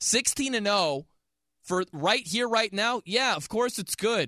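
A man with an American accent uses a raised, projected voice, high in pitch and bright, sharp in tone, at a fairly slow pace. The recording is very clean and dry, close with no echo, over a silent background. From US Midwest (South Bend, Indiana). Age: 30s. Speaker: sports radio host. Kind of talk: sports talk radio. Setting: radio studio.

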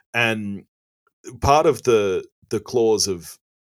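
The speaker has an Australian accent, and the recording is very clean with a silent background and a dry, close sound with no echo. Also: man. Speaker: movie podcast guest. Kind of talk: casual chat. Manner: calm and tranquil.

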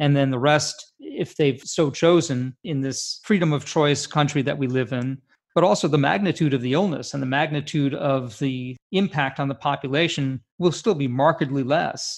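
Against a quiet background, a man with a plain, everyday voice and a fairly high pitch talks at a moderate pace with ordinary pitch variation. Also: hardly any pauses. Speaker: physician co-host. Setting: video call.

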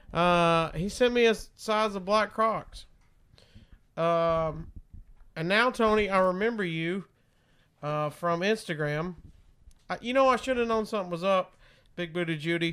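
A man speaks with a Southern US accent, in a high pitch with ordinary variation. His tone is bright and sharp, and his pace fairly slow. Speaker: radio host and podcaster. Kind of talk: casual chat. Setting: home studio. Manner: animated.

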